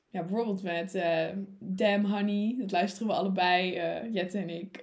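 A woman's somewhat breathy voice in a monotone, flat delivery with audible room echo. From Netherlands, Utrecht. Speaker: student council member, podcast co-host. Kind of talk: casual chat. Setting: studio.

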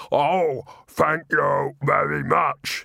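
A man's raspy, put-on character voice. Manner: reproachful.

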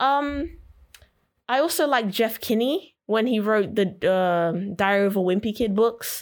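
A plain, everyday voice moves at a fairly slow pace with lively intonation and very even loudness. The recording is very clean, with a silent background. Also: woman, fairly high pitch for a woman. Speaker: college student. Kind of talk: casual chat.

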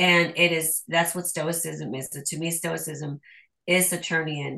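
A woman speaks at a fairly low pitch with fairly even intonation and a bright, sharp tone. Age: 40s. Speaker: Gnostic priestess and shadow work teacher. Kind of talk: casual chat.

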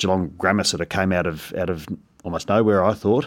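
Over a very clean, silent background, a man with a very deep, low pitch speaks at a fairly quick pace with fairly even intonation. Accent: Australian. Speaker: school principal. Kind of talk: casual interview chat.

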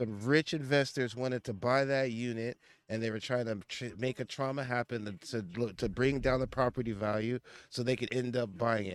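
In a very clean recording with a silent background and a dry, close sound with no echo, a man uses a normal speaking voice at a medium pitch, talking at a fairly quick pace with ordinary pitch variation. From United States. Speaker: podcast co-host. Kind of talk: casual chat.

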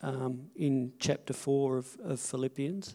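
At a very slow pace, a man speaks with a dark, mellow tone and a fairly high pitch. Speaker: pastor. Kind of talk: church service talk, scripture reading, offering message. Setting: church. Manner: emotional, chuckling, casual.

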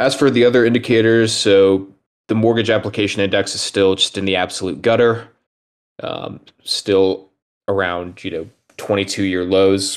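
With an ordinary speaking voice, a man talks at a moderate pace, his fairly low pitch carried in fairly even intonation. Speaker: macro analyst. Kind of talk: presentation of slides on macro.

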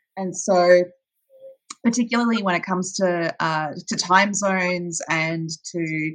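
Her voice is fairly low in pitch, and the woman speaks with an Australian accent. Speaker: audio drama producer. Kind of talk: podcast interview.

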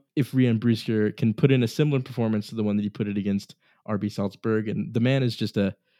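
Against a quiet background, a man talks at a very fast pace. His medium-pitched voice has a dark, mellow tone. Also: dry, close sound with no echo. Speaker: soccer podcast host. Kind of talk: casual sports chat.

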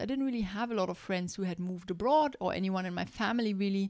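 In a very clean recording with a silent background, a woman talks at a very fast pace with ordinary pitch variation. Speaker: podcast host, life coach for moms. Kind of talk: solo motivational podcast monologue.

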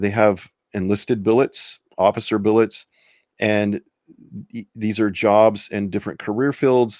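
With a dry, close sound and no echo, a man with a normal speaking voice talks fairly slowly at a fairly low pitch and fairly even intonation. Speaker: high school teacher and podcaster. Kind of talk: solo conservative commentary podcast.

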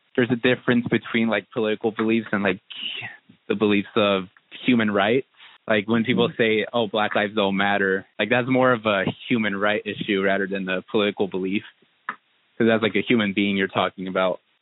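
With a West Coast US accent, a man speaks fairly quickly in a flat, monotone delivery, his fairly low voice held at a very even volume. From Southern Oregon, US. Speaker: interviewee. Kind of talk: casual interview talk. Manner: casual, filler-heavy.

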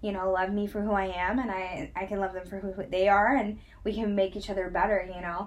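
This woman's voice sits in a medium range. She talks fairly quickly. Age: 20s. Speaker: podcast host. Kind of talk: casual chat. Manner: animated.

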